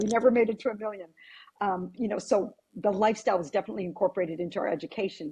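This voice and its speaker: A woman with an American accent talks at a very fast pace, her medium-pitched voice somewhat breathy with a dark, mellow tone. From US Virgin Islands (St. Croix), family from Syracuse, New York. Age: 60s. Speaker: real estate agent. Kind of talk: podcast interview.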